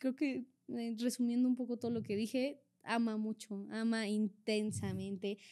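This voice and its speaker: On a very clean recording with a silent background, a woman with a normal speaking voice talks at a fairly slow pace, her fairly high pitch held in fairly even intonation. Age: 20s. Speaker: actress. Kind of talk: casual chat.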